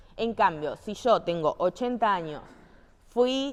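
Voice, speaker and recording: A woman's fairly high voice at a fairly slow pace, with lively intonation. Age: 20s. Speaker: physical activity instructor. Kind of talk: training lecture. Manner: conversational, frequent checking questions.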